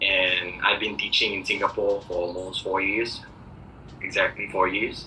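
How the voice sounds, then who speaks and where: Background noise can be clearly heard. Over it, a man speaks at a moderate speed. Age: 20s. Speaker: preschool teacher. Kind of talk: job interview. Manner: hesitant, many fillers.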